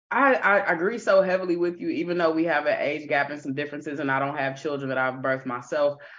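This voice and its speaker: Speaking with an American accent, a woman talks very fast in a very deep, low pitch, with ordinary pitch variation and hardly any pauses. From Kansas City, Missouri. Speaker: podcast host, professor. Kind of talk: casual chat.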